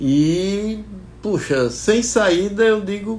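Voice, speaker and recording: Audible room echo surrounds a man's voice. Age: 70s. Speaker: agronomist and investing channel owner. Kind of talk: personal talk to viewers. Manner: halting, many repetitions.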